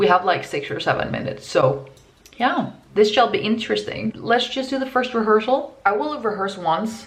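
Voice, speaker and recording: There is noticeable background noise and audible room echo as a woman talks with very wide pitch swings. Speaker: university student vlogger. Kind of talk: vlog. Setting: indoors at home.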